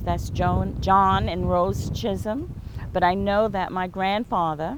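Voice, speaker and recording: A woman with an American accent speaks at a very slow pace. Noticeable background noise and audible room echo fill the recording. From US South, James Island, South Carolina. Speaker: interviewee, local community member. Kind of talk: oral history interview.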